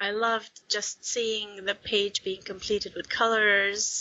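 This woman speaks in a medium pitch. She has a Swedish accent. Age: 30s. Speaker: hobby colorist, social media creator. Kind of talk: interview.

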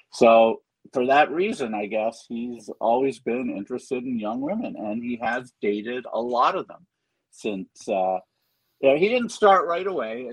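A man with a medium pitch and an ordinary speaking voice talks at a fairly slow pace with lively intonation. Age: 60s. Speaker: festival organizer and co-host. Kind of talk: casual chat.

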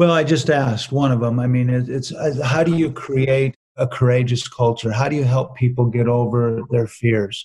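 The voice is somewhat breathy, with fairly even intonation and very even loudness. It moves at a moderate pace with hardly any pauses. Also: man, medium pitch for a man. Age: 60s. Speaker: business author and speaker. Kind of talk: interview.

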